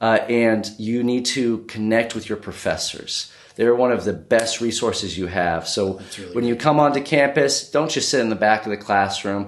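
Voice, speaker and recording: In an ordinary speaking voice, a man with an American accent talks at a moderate pace with ordinary pitch variation and hardly any pauses. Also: medium pitch for a man. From US (born in Brazil, moved at age two). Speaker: university admissions and recruitment manager. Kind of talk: interview. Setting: on location in Lagos, Nigeria.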